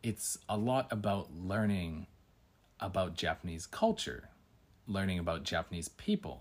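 An ordinary speaking voice with a Canadian accent at a fairly slow pace, with ordinary pitch variation, on a very clean recording with a silent background. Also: man, fairly low pitch for a man. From Canada. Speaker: podcast host and English teacher. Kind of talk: casual solo podcast monologue.

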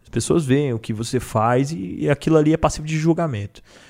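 The recording is very clean with a silent background. A man with an unremarkable speaking voice talks at medium pitch and a moderate pace with lively intonation. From Federal District, Brazil. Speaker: battle rapper. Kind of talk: casual chat.

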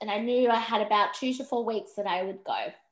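A woman talks with an Australian accent and ordinary pitch variation. The background is quiet. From Western Australia, Perth. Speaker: empowerment coach and podcaster. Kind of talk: interview conversation.

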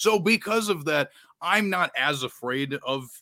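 On a very clean recording with a silent background and a dry, close sound with no echo, a man speaks at a moderate pace in a bright, sharp tone with lively intonation. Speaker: fantasy football podcaster guest. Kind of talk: casual podcast discussion.

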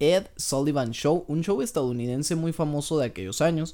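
With a Mexican accent, a man talks at a moderate pace in a dark, mellow tone, his pitch fairly high with ordinary variation. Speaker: podcast co-host. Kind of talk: casual chat.

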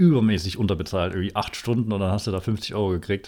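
Mumbling at a fairly low pitch, a man is heard in a very clean recording with a silent background. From Thuringia, Erfurt. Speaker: podcast co-host. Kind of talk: casual chat. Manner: mumbling, barely opens mouth.

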